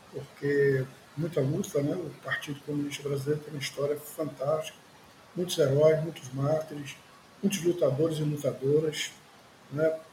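Against noticeable background noise, a man talks at a moderate pace with fairly high pitch and monotone, flat intonation. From Recife, Pernambuco, Brazil. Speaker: journalist and party activist. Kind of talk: interview testimony. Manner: hesitant fillers.

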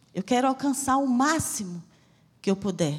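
The recording is very clean, with a silent background. A somewhat breathy woman speaks at a moderate pace with very wide pitch swings. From Bahia, Brazil (Salvador). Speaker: missionary preacher. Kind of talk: sermon. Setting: church.

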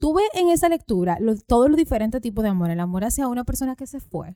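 In a dry, close sound with no echo, a woman with a high pitch and a dark, mellow tone speaks at a moderate pace with very wide pitch swings. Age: 20s. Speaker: podcast host. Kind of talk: casual chat.

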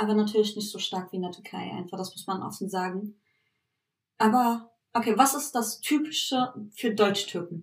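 A woman with a fairly high pitch and a somewhat breathy voice speaks at a moderate pace, using ordinary pitch variation and big swings in loudness. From Berlin, Germany (Turkish family). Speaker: podcast co-host. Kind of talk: casual chat.

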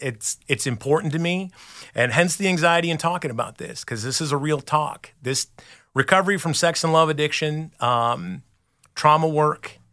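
A plain, everyday voice with ordinary pitch variation, speaking at a moderate pace. The recording is very clean, with a silent background. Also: man. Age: 40s. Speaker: recovery sponsor. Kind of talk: testimony. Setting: studio.

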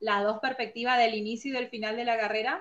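A woman with a northeastern Argentine accent. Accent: northeastern Argentine Spanish (voseo). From Argentina (Formosa). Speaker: forestry engineer. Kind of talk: interview. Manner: halting, many fillers and repetitions.

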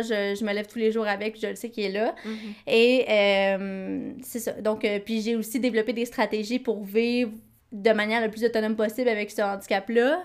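A woman with a Quebec accent and a fairly high pitch, at a moderate pace with fairly even intonation, on a very clean recording with a silent background. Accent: Québécois French. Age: 20s. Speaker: podcast co-host. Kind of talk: casual chat.

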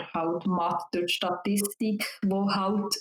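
A woman speaks at a very slow pace in a monotone, flat intonation. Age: 20s. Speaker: psychology student. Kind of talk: interview. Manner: hesitant, many fillers.

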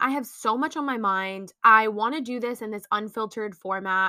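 At a moderate pace, a woman talks with a bright, sharp tone in a very clean recording against a silent background. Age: 20s. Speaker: podcaster and small business owner. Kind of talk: casual monologue. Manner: free-flowing, unscripted.

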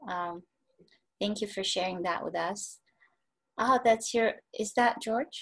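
A woman speaks with ordinary pitch variation. Her voice carries vocal fry. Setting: online video call.

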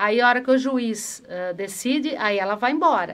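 Using a plain, everyday voice, a woman talks at a fairly high pitch with ordinary pitch variation. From Brazil, Campinas (Sousas). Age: 50s. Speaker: city councillor, former PE teacher. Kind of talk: interview chat.

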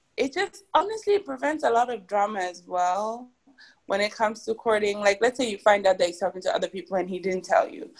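At a fairly quick pace, a woman talks in a plain, everyday voice with medium pitch and lively intonation. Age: 20s. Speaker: podcast co-host. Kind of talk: casual chat.

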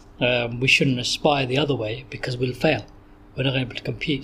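A man talks at a moderate pace. He has a Bedfordshire accent. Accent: southern English, Luton. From southern England, Luton, Bedfordshire. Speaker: psychology lecturer. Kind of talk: interview. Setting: in person recording. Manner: hesitant, many fillers.

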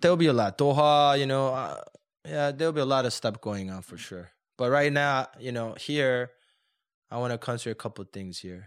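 Big swings in loudness from a man with a Korean accent, medium pitch, ordinary pitch variation and a moderate pace. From South Korea, moved to the US at 14. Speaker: chef and restaurateur. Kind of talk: interview.

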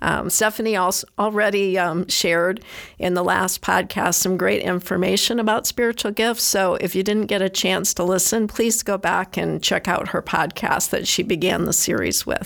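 A woman at medium pitch speaks with vocal fry and fairly even intonation. Her loudness stays very even, with hardly any pauses. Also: moderate pace. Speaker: church volunteer speaker. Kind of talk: prepared talk. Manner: halting.

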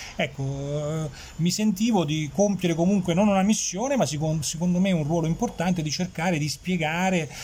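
Moderate pace and ordinary pitch variation in a man's high voice. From Campania, Irpinia (family roots; born in Switzerland). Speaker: journalist. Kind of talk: casual interview. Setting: café. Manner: hesitant, with frequent repetitions.

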